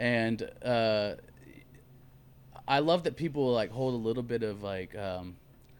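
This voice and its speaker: With long, frequent pauses, a man speaks at a fairly slow pace. His pitch is medium, with ordinary variation. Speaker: country soul singer-songwriter. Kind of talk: interview answer. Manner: casual, hesitant.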